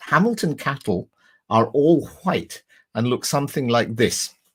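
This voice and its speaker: On a very clean recording with a silent background, a man talks fairly slowly at a fairly high pitch, his voice making very wide pitch swings. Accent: Scottish. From west of Scotland, Lanarkshire. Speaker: crime novelist. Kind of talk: talk with slides.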